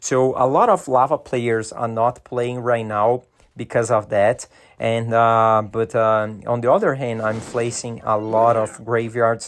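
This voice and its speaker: Against a quiet background, a man with a Brazilian Portuguese accent talks at a fairly slow pace in a medium pitch with fairly even intonation. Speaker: gaming YouTuber. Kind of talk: gameplay commentary. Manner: hesitant, many fillers.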